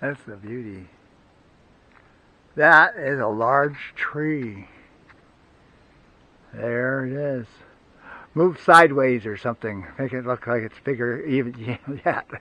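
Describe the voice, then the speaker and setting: With a bright, sharp tone and ordinary pitch variation, a man speaks at a very slow pace with long, frequent pauses in a dry sound with no echo. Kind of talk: casual vlog chat. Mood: amused, impressed. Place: forest. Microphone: phone near.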